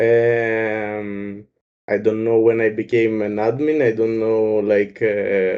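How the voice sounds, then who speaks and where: At a very slow pace, a man talks in a dark, mellow tone at a medium pitch, his intonation monotone and flat. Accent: Greek. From Greece. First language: Greek. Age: 20s. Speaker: gaming clan member. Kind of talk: casual chat. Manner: halting.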